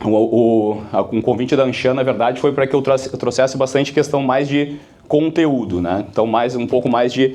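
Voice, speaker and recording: The man speaks at a moderate pace. His pitch sits in the medium range. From Brazil, Porto Alegre (Rio Grande do Sul). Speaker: business speaker, sales company founder. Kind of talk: keynote talk to business audience. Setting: stage with live audience. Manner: casual, conversational, with many fillers.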